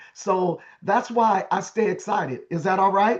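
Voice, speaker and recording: A speaker with an American accent and ordinary pitch variation. The tone is animated. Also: man. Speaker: network marketing director. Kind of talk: orientation training call. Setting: online group call.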